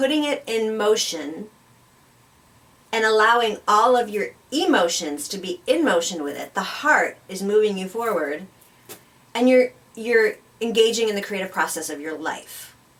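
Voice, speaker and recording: A woman's fairly high voice at a moderate pace, lively intonation, big swings in loudness, long and frequent pauses, noticeable background noise. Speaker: spiritual talk show co-host. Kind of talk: conversational talk show discussion.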